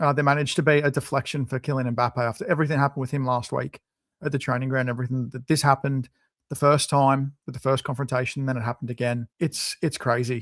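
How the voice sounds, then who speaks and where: A man of medium pitch with an Australian accent speaks very fast in fairly even intonation, in a very clean recording with a silent background and a dry, close sound with no echo. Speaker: football podcast co-host. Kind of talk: casual chat.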